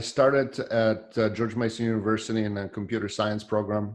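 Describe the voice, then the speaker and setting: A man with a Polish accent speaks at a moderate pace and a medium pitch. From Poland. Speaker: software developer. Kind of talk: casual chat. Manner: halting.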